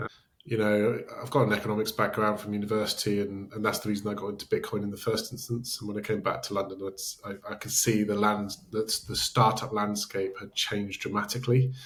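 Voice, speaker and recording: A man with a British accent speaks fairly quickly in a monotone, flat delivery at a fairly low pitch. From Britain. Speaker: startup founder. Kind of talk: interview.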